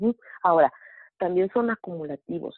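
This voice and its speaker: This woman has a normal speaking voice, fairly low in pitch. She talks at a moderate pace with ordinary pitch variation. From Mexico City. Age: 40s. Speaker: network marketing distributor. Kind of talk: testimony and sales pitch. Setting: phone call.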